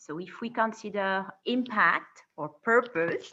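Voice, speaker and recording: A woman with a French accent, bright, sharp tone and lively intonation, speaking at a very slow pace against a quiet background. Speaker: corporate responsibility director, webinar host. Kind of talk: panel moderation. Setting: video call.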